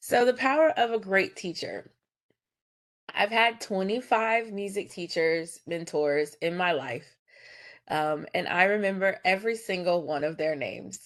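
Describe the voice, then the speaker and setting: A woman with a normal speaking voice, a medium pitch and lively intonation, at a fairly slow pace over a quiet background. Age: 30s. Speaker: choir director and music educator. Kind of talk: presentation.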